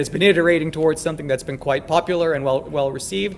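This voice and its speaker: A man with a Canadian accent, high-pitched and very fast, over noticeable background noise. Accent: Canadian, noticeable to local audience. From Canada. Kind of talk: lecture. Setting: lecture hall. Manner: casual, joking.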